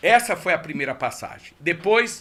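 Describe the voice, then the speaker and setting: A man's raised, projected voice, high-pitched, at a moderate pace. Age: 60s. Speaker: political candidate. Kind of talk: radio interview. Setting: radio studio.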